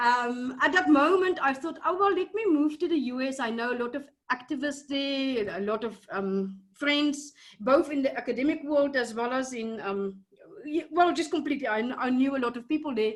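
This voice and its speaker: A woman's high voice in a South African accent, lively in intonation, at a moderate pace. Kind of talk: casual interview conversation. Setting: video call. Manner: hesitant, many fillers.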